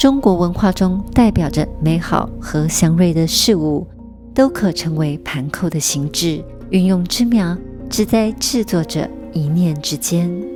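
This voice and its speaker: Music plays behind a woman speaking at a very slow pace. Her pitch is fairly low and her intonation lively. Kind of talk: documentary narration.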